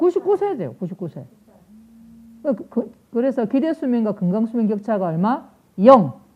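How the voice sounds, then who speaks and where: Speaking at a fairly high pitch, a woman sounds somewhat breathy, with very wide pitch swings and long, frequent pauses. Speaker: nursing professor. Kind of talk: lecture. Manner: fast.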